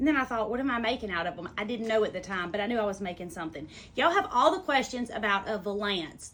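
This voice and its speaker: A woman speaks in a Southern US accent. Her pitch is fairly high and her pace fairly quick. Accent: Southern US, remarked on own pronunciation. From US South. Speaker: sewing teacher. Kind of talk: tutorial. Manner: casual, chatty.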